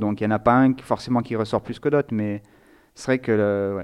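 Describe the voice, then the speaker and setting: A man's voice sits at a medium pitch, his intonation staying fairly even. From Nice, southern France. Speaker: theology student. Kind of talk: interview. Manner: halting.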